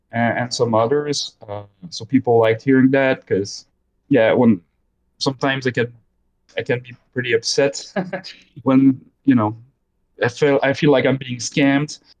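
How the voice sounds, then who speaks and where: Loudness swings widely as a man at medium pitch speaks at a moderate pace with fairly even intonation and long, frequent pauses. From Belgium and Quebec, French-speaking. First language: French. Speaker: gaming YouTuber. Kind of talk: casual chat. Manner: halting, many fillers and repeats.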